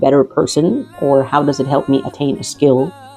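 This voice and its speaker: Over music in the background, the speaker talks at a moderate pace with a non-native accent. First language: not Arabic. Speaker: physician giving health advice. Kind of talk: scripted advice talk. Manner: formal.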